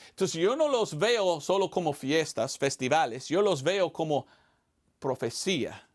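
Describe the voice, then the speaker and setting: A high-pitched man with an American accent swings his pitch very widely on a very clean recording with a silent background. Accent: non-native Spanish, American. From United States. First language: English (speaking Spanish). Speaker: evangelist missionary pastor. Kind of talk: sermon. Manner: halting, with repetitions.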